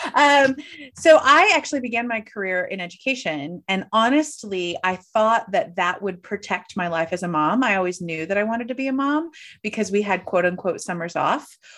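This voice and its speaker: On a very clean recording with a silent background, a woman with a Midwestern American accent speaks at a medium pitch, swinging very widely in pitch. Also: moderate pace. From US Midwest, St. Louis. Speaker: coach and keynote speaker. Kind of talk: casual interview.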